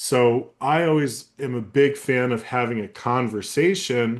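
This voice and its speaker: This is a man speaking at a medium pitch. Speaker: sales trainer. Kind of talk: training webinar. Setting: webinar. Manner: monotone; off the cuff, conversational.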